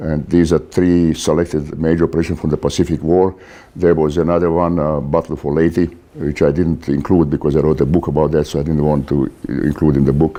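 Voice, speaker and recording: With a non-native accent, a man talks at a fairly quick pace in a very deep, low pitch and a dark, mellow tone. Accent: foreign. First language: not English. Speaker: author and naval warfare lecturer. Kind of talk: lecture. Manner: hesitant, many fillers.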